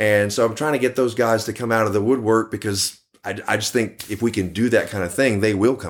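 On a very clean recording with a silent background, a man with a Texan accent speaks with fairly even intonation. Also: medium pitch for a man, fairly quick pace. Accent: Texan American. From Texas, Dallas. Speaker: tribute band guitarist. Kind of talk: casual interview.

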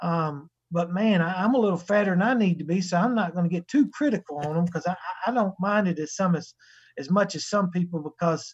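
A man with a coastal North Carolina accent, high-pitched, with lively intonation at a fairly quick pace. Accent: Southern US, North Carolina coastal. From North Carolina, US South. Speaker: sheep breeder and livestock show judge. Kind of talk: casual interview chat.

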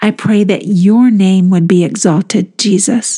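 The tone is dark, mellow, soothing and gentle, somewhat breathy, with fairly even intonation and a very slow pace. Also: woman. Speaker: podcast host leading guided meditations. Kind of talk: guided meditation. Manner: slow, soothing, gentle.

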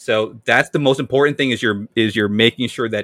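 This man has a normal speaking voice with an American accent. His pitch is medium and his intonation fairly even. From US Northeast, Amherst, western Massachusetts. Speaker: high school Latin teacher. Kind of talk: podcast interview.

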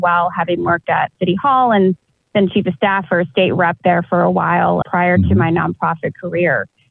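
Music plays in the background. The speaker moves at a fairly quick pace with ordinary pitch variation. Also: woman, hardly any pauses, very even loudness. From Texas, South Austin. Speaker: chamber of commerce president, lawyer. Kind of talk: interview.

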